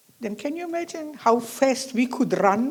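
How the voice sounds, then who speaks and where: A somewhat breathy woman's voice with lively intonation at a fairly slow pace. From Slovakia (Nitra). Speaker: Holocaust survivor. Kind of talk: testimony.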